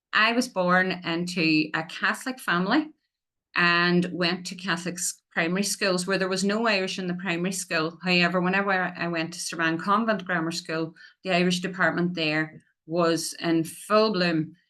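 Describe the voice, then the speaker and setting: Over a quiet background, a woman talks at a moderate pace in a fairly low pitch with fairly even intonation. Her tone is bright and sharp. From Northern Ireland, County Tyrone. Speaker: Irish language development officer. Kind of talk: public talk.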